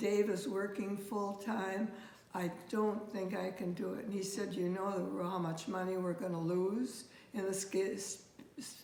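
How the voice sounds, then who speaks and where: Over noticeable background noise and audible room echo, a woman talks at a fairly slow pace. Her medium-pitched voice has fairly even intonation. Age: 90s. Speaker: retired speech pathologist. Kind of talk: casual interview about her career. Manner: halting, with false starts.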